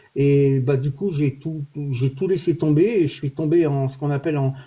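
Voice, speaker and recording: Somewhat breathy and with a dark, mellow tone, a man talks at a fairly high pitch and a moderate pace with ordinary pitch variation. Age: 60s. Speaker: olive oil producer, livestream host. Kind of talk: casual chat. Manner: hesitant, many fillers.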